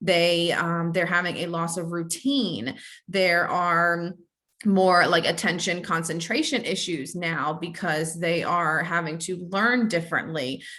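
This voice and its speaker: Audible room echo surrounds a woman speaking fairly slowly. Her voice is bright and sharp, fairly low in pitch, with ordinary pitch variation. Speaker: licensed counselor presenting a training webinar. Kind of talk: webinar training lecture. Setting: online webinar with chat. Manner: halting, many fillers and repetitions.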